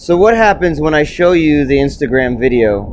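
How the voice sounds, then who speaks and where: A loud man with a fairly high voice speaks over noticeable background noise. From New York, Puerto Rican background. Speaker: video blogger. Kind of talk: solo rant monologue. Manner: halting, repeats words.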